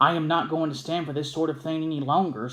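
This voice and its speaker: A man puts on a gruff character voice at a fairly high pitch. He speaks at a very fast pace over light background noise. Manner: shouting, gruff.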